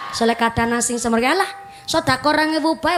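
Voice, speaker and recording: Over crowd noise in the background, a woman with a Javanese accent speaks with lively intonation. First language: Javanese (speaking Indonesian). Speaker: female Islamic preacher. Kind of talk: religious lecture. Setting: mosque gathering with audience.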